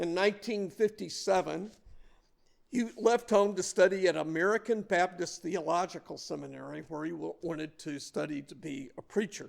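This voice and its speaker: High pitch from a man in a Southern US accent, with ordinary pitch variation and big swings in loudness. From US South, Mobile, Alabama. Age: 60s. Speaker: lay speaker. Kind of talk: sermon.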